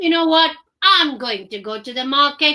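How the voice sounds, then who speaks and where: Putting on a character voice, a woman speaks in a raised, projected voice at a high pitch and moderate pace. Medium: read story. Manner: expressive, exclamatory.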